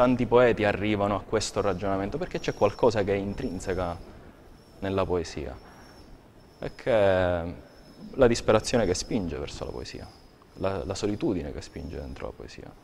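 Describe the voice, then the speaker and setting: A man's fairly low voice with vocal fry, a moderate pace, long, frequent pauses and light background noise. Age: 30s. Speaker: poet. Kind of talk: interview. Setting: TV studio. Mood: reflective, calm. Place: studio. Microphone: lapel.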